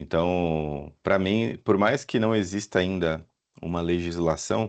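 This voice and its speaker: Very deep and low, a man's voice moves with ordinary pitch variation at a very slow pace. The background is quiet. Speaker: professor, AI specialist. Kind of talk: Q&A answer at webinar.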